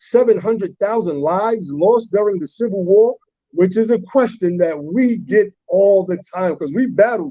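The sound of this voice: Someone reads in an unforced reading voice. The background is quiet.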